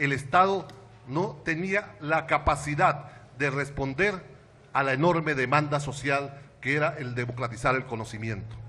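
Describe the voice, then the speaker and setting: A man speaks at a fairly slow pace with a fairly high pitch and ordinary pitch variation. His tone is bright and sharp. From Venezuela, Táchira state. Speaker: education activist and intellectual. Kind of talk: panel talk.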